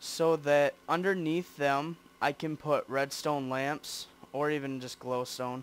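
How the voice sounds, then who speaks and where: Very slow speech from a man, fairly high-pitched, with fairly even intonation. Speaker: gaming video creator. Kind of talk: casual gameplay commentary. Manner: casual, rambling with fillers. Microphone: broken headset mic resting on shoulder.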